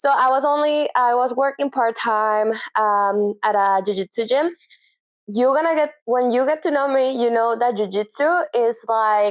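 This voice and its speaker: Keeping her loudness very even, a woman with a Spanish accent talks at a moderate pace in a high pitch with ordinary pitch variation. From Venezuela. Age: 30s. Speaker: self-taught graphic designer and brand strategist. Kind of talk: casual vlog talk to camera. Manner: animated, rambling with fillers.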